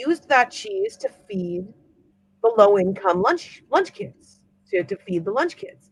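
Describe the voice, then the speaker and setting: A woman with an American accent talks at a fairly slow pace in an animated, bright, sharp tone, her pitch swinging very widely, recorded with a dry, close sound and no echo. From Northern California. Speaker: writer. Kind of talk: casual chat.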